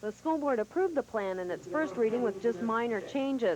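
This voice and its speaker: A woman speaks in an unremarkable speaking voice at a moderate pace. Her pitch is fairly high, with lively intonation. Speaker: television news reporter. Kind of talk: TV news report voiceover. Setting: 1985 broadcast television recording.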